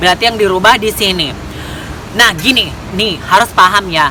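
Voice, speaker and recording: The speaker has a Medan accent and keeps a moderate pace with ordinary pitch variation. Noticeable background noise can be heard. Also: woman. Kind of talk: casual explanatory talk to camera. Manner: a bit fierce, joking.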